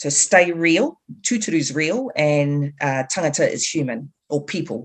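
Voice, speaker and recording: A woman with a New Zealand accent, a very deep, low pitch, lively intonation and a fairly slow pace. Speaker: activist, group co-founder. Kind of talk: interview conversation.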